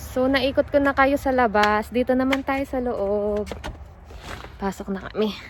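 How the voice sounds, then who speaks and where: Noticeable background noise sits behind a woman speaking at a fairly slow pace. Her pitch is high, with ordinary variation. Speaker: vlogger. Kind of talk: casual vlog walkthrough. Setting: walking tour of a house.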